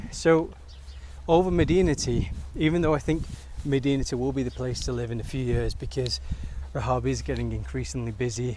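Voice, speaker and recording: A man with an English accent at a fairly quick pace, broken by long, frequent pauses. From England, British-born Bengali. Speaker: vlogger. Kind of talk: walk-and-talk vlog. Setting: outdoors. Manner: casual.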